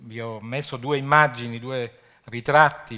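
A man's pitch varies in an ordinary way against a quiet background. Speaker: archaeology official. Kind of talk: lecture. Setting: stage with audience. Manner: halting. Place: stage. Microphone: podium.

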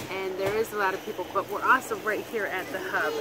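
Clear music plays in the background as a woman speaks with ordinary pitch variation in a dry sound with no echo. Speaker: travel vlogger. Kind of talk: casual vlog chat. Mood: upbeat, relaxed. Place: street. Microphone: phone near.

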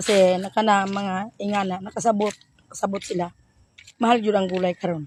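A woman at medium pitch talks at a fairly quick pace in a flat monotone. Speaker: vegetable vendor vlogger. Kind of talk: casual vlog monologue.

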